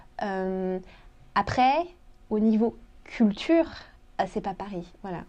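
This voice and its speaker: A woman speaks very slowly at a medium pitch, with a dark, mellow tone. Her intonation is lively and her loudness swings widely. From France, Portuguese-born parents. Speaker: expat interviewee. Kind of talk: interview. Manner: hesitant.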